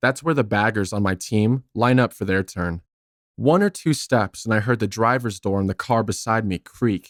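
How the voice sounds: The background is quiet while a natural reading voice shows ordinary pitch variation.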